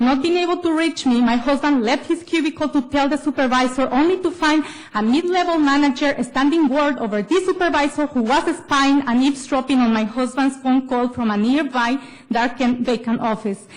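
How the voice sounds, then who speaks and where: In a non-native accent, a woman with a high pitch and ordinary pitch variation talks at a fairly quick pace with very even loudness. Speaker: public commenter. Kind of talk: public comment speech at government meeting.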